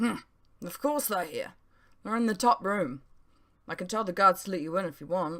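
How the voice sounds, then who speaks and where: A female-sounding, raspy put-on character voice at a middle pitch moves at a moderate pace with long, frequent pauses, on a very clean recording with a silent background. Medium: read story. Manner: proud, chatty.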